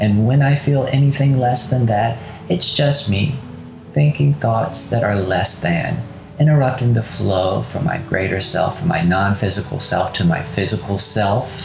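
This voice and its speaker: Music plays in the background as a man speaks at a fairly slow pace with very even loudness. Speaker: meditation guide. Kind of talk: guided meditation. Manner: slow, calm, soothing, with gentle pauses; soft-spoken, reassuring, direct address.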